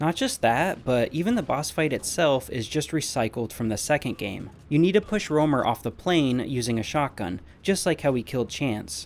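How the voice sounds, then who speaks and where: Here is a man with a normal speaking voice at medium pitch. He speaks at a moderate pace with lively intonation. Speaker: video game reviewer. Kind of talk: scripted narration.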